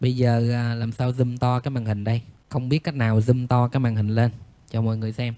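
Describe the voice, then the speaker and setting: Dark, mellow tone from a man, medium in pitch and moderate in pace. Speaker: audio equipment seller. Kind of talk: tutorial. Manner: animated.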